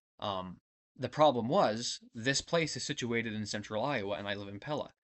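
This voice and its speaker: A man with a Midwestern US accent, medium pitch and ordinary pitch variation. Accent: US Midwest. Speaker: vlogger. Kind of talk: casual personal vlog. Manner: fast; halting, many false starts.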